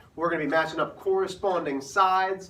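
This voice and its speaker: Over audible room echo, a man talks at a fairly quick pace with a high pitch. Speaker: math teacher. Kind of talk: classroom lecture. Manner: animated.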